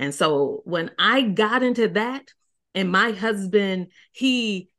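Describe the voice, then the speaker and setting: In an unremarkable speaking voice, a woman talks at a medium pitch with ordinary pitch variation over a quiet background. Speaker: marriage coach. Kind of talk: interview conversation.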